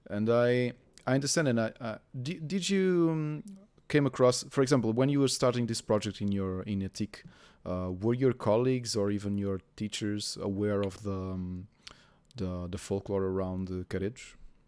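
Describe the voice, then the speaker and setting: A man with a Portuguese accent, fairly low in pitch, at a moderate pace on a very clean recording with a silent background. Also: ordinary pitch variation. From Portugal. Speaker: gaming journalist interviewer. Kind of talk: interview. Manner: halting.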